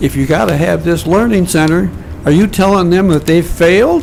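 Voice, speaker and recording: There is noticeable background noise as a man with a fairly high pitch speaks at a moderate pace. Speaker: public commenter at city council meeting. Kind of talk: public comment. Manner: loud.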